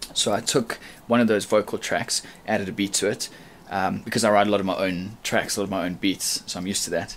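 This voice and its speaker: Very fast and flat, a man with a South African accent talks in a monotone at a fairly low pitch. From South Africa, Durban. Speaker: rapper. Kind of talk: audition video.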